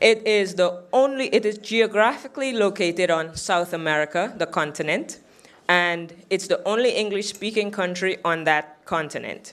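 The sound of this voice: A woman speaks at a moderate pace with few pauses, her pitch fairly low. Her tone is fairly bright, and her pitch variation is ordinary.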